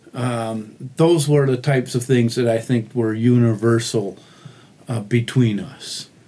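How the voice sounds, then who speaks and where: Here is an ordinary speaking voice with an American accent. It moves at a fairly slow pace with fairly even intonation. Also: man, medium pitch for a man. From Michigan, US (Oxford, near Detroit). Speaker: mission volunteer, crew leader. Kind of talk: casual interview. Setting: makeshift podcast booth in a hotel.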